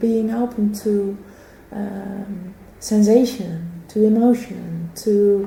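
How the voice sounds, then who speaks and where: A woman with a Dutch accent speaks at a medium pitch, with noticeable background noise and audible room echo. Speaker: philosophy of sport professor. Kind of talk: interview conversation. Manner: halting.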